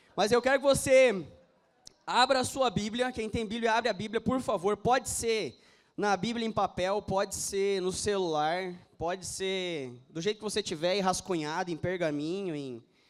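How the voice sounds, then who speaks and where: Over a silent background in a very clean recording, a man with a high voice speaks at a moderate pace with lively intonation. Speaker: pastor. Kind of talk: sermon.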